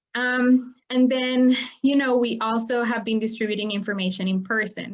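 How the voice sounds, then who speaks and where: Her intonation fairly even and her pace moderate, a woman with fairly high pitch speaks in an ordinary speaking voice. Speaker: farmworker advocacy nonprofit director. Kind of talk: webinar presentation. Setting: online webinar.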